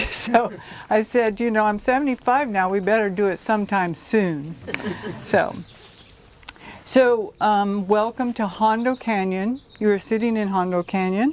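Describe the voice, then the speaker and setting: In an American accent, the speaker goes at a fairly slow pace with ordinary pitch variation and long, frequent pauses over noticeable background noise. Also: woman, fairly high pitch for a woman. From Southern California. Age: 70s. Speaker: author. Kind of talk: public talk. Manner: hesitant, many fillers.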